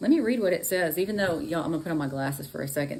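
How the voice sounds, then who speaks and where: A woman with a Texan accent speaks with lively intonation. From Texas. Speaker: astrology and tarot reader. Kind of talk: live stream horoscope reading. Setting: live stream. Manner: casual, chatty.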